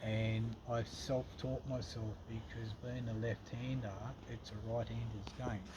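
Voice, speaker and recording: A man speaks at a fairly slow pace with an Australian accent, his pitch medium and his intonation fairly even. Noticeable background noise runs under his voice. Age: 60s. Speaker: furniture restorer. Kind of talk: interview. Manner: halting.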